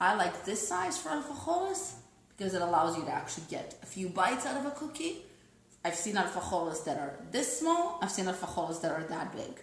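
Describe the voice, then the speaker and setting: Very wide pitch swings mark this woman's medium-pitched voice at a fairly quick pace, with audible room echo and noticeable background noise. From Russia. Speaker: food blogger. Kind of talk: live cooking demonstration. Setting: live online broadcast. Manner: casual, chatty.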